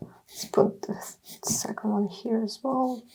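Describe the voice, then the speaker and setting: A woman mumbles at a very slow pace in a Russian accent, her pitch fairly high. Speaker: artist. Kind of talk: casual talk while drawing. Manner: mumbling; halting.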